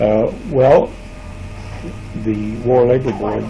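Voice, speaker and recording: Quiet speech over noticeable background noise. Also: man. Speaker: retired factory worker. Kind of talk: interview answer. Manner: quiet, hesitant.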